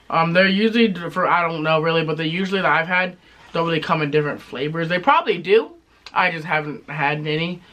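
Noticeable background noise runs behind a man with a high pitch. He talks at a very fast pace with fairly even intonation. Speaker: tobacco review youtuber. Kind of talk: casual review chat.

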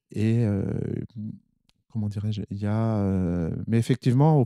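A man speaks at a fairly slow pace with a fairly low pitch, ordinary pitch variation and a dark, mellow tone. The recording is very clean and dry, close with no echo and a silent background. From northern France, Nord (Armentières). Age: 50s. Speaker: anaesthetist doctor. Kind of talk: interview. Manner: halting.

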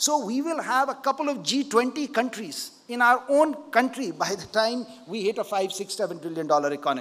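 A man at a moderate pace with hardly any pauses, his pitch extremely high and swinging very widely. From India. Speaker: keynote speaker, investor and politician. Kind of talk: keynote speech. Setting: conference stage with audience. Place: stage. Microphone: podium.

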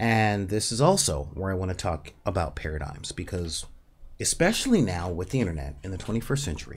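Pitch swings big as a man speaks at a fairly quick pace. His voice sits low.

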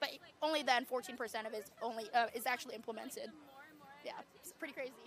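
At a fairly quick pace, a raised, projected voice is heard with light background noise and a dry sound with no echo. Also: woman. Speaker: university student. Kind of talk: street interview. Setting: outdoors at a campus protest. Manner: casual, uses 'like' often. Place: open country.

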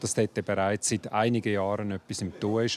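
In a plain, everyday voice, a man talks at a moderate pace and a fairly low pitch, with light background noise. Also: dry sound with no echo. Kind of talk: interview answer. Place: street. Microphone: handheld.

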